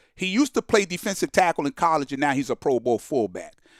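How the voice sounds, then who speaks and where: A man talks at a fairly quick pace with a fairly high pitch that swings very widely. The sound is dry and close with no echo. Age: 60s. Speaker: sports talk show host. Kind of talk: call-in show monologue. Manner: casual, conversational.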